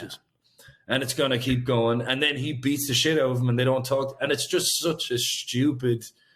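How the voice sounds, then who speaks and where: With an Irish accent, a man speaks at medium pitch and a moderate pace in a monotone, flat intonation. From Ireland. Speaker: singer-songwriter. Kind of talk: interview answer.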